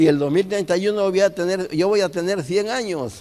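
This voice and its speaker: A man's dark, mellow tone at a moderate pace. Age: 80s+. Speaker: elderly church member giving testimony. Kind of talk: testimony. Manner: halting.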